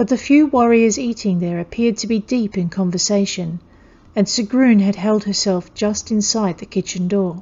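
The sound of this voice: An unforced reading voice with pitch that varies in an ordinary way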